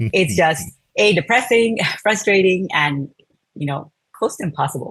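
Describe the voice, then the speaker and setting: Speaking at a moderate pace, a woman with a medium pitch swings very widely up and down, her voice showing vocal fry. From India. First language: Telugu. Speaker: product design manager. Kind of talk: interview. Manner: frequent fillers, uh and um.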